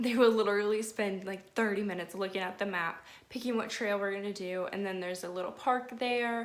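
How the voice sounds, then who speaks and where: Speaking at a fairly quick pace with hardly any pauses, a woman uses a medium pitch in a room with audible echo. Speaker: nanny and lifestyle vlogger. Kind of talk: casual vlog tutorial. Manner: fast; animated.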